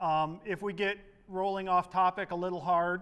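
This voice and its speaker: The voice is loud and monotone, with flat intonation. It moves at a moderate pace. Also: man. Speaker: political activist presenter. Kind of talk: workshop presentation. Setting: meeting room with audience, no microphone.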